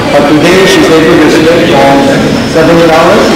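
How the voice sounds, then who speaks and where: A man's voice at a moderate pace, with audible room echo and loud background noise. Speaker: seminar host. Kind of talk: interviewer. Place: hall.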